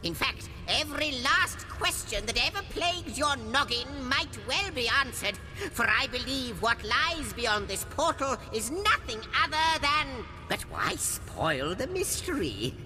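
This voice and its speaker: Over loud background noise, someone performs a put-on character voice at a fairly slow pace. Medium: video game. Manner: theatrical, rambling.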